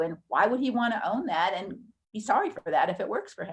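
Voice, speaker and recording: A woman's fairly high, somewhat breathy voice at a fairly quick pace with lively intonation. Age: 60s. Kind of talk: live webinar teaching. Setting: live stream webinar.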